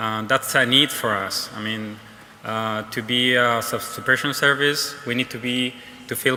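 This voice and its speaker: Speech comes at a fairly slow pace in a Spanish accent, with noticeable background noise behind it. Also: man. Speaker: fire service technician. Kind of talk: conference talk. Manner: halting, many fillers.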